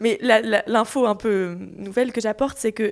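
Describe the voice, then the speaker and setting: A woman speaks with monotone, flat intonation. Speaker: podcast guest. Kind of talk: casual chat. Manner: fast.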